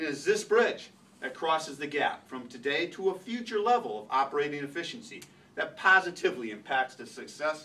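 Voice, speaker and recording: Speaking at a fairly quick pace, a man lets his pitch swing very widely. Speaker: presenter. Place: meeting room. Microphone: camera far.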